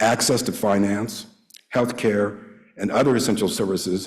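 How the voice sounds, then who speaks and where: There is audible room echo as a man talks at a moderate pace and medium pitch. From US military family, raised abroad and US West. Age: 70s. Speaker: lawyer, award honoree. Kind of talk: award acceptance speech. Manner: formal.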